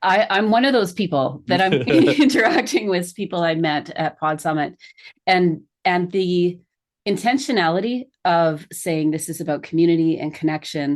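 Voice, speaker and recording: A woman's normal speaking voice, with lively intonation at a moderate pace. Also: fairly low pitch for a woman. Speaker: event planner and connection strategy coach. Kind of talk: podcast interview host.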